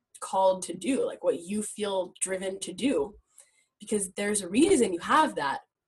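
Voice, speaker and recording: A woman with an American accent speaks at a moderate pace in a medium-pitched, somewhat breathy voice. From US Midwest and Israel. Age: 20s. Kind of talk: casual interview.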